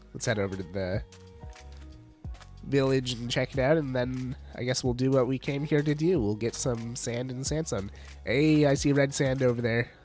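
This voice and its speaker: With music playing behind him, a man speaks at a moderate pace and medium pitch, his pitch varying in an ordinary way, broken by long, frequent pauses. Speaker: streamer. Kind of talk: casual live-stream gameplay commentary. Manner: upbeat.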